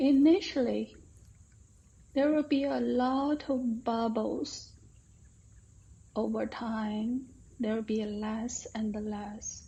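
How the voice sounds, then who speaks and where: A woman talks at a very slow pace, leaving long, frequent pauses, her fairly high pitch moving with ordinary variation. Her voice is somewhat breathy, with a calm, gentle tone and a dark, mellow quality. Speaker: meditation guide. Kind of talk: guided meditation. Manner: calm, slow, gentle.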